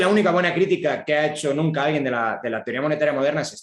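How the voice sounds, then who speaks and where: Lively intonation marks a man's speech. He goes at a very fast pace. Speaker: economist giving a talk. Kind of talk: lecture. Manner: hesitant fillers.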